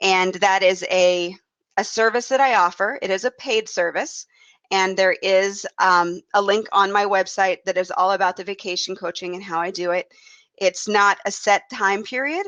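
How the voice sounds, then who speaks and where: A woman at a medium pitch and moderate pace, with fairly even intonation. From US Midwest. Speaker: travel blogger and podcast host. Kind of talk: podcast introduction monologue. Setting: live web broadcast. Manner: casual with frequent fillers.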